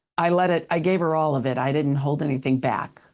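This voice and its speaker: A woman with an ordinary speaking voice, fairly quick pace and ordinary pitch variation, over a quiet background. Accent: American. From US. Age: 60s. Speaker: podcast host. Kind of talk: interview chat. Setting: live video show.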